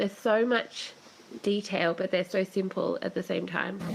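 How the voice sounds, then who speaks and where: A woman's moderate-tempo speech is accompanied by noticeable noise behind her. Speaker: podcast co-host. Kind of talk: casual chat. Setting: online voice chat. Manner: enthusiastic.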